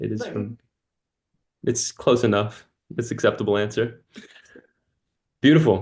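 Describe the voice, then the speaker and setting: A man's somewhat breathy voice at a medium pitch. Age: 20s. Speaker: community coach and call host. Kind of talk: casual group video call. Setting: video call. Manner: warm, animated.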